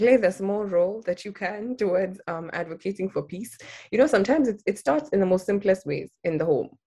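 A dark, mellow tone at a moderate pace. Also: woman. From Kenya, Nairobi. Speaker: nonprofit founder and peace studies graduate. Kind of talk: interview.

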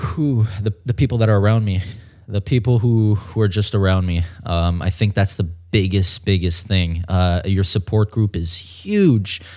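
At a moderate pace, a man with a fairly low pitch and a dark, mellow tone speaks with very even loudness and ordinary pitch variation. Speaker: fitness model and personal trainer. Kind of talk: casual interview.

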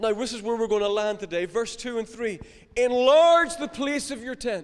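The speaker has a Northern Irish accent and ordinary pitch variation. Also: man. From Northern Ireland, County Down. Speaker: pastor. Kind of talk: sermon.

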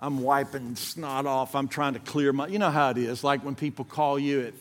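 A man with a Southern US accent at a fairly high pitch and a fairly quick pace, on a very clean recording with a silent background. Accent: US South. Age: 60s. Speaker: guest preacher. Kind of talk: sermon. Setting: church.

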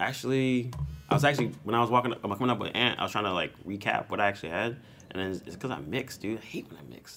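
A man's very fast, medium-pitched voice, bright and sharp in tone, with lively intonation, vocal fry and big swings in loudness. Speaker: podcast host. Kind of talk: casual chat. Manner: animated.

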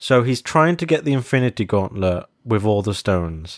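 A man's medium-pitched voice with a British accent, lively intonation and a moderate pace, dry and close with no echo, on a very clean recording with a silent background. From Britain. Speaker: podcast co-host. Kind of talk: casual chat. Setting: in-person recording at home on a sofa. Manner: animated.

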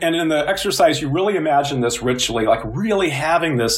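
This man speaks with a Midwestern US accent at a fairly quick pace, his fairly high voice showing ordinary pitch variation. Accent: General American (Midwestern). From US Midwest (Illinois). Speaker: psychology professor. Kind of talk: interview.

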